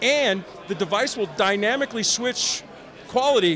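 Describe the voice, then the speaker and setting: Against light background noise, a man with an American accent speaks with lively intonation. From Chicago. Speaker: company representative at trade show. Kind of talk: product demo. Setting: trade show floor. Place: hall. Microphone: handheld.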